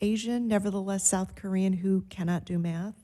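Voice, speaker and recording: A woman's medium-pitched, dark, mellow voice with an American accent and fairly even intonation. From Chicago, US Midwest. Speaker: marketing and business development principal. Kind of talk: podcast interview.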